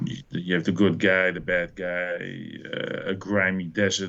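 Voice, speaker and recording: A man with a Dutch accent speaks at a moderate pace in a very deep, low voice with monotone, flat intonation. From Netherlands. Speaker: film fan podcast guest. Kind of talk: casual chat.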